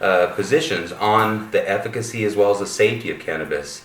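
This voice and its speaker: Noticeable background noise is present throughout. The talking goes at a moderate pace, its pitch varying in an ordinary way. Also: man. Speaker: medical cannabis researcher. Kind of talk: interviewer.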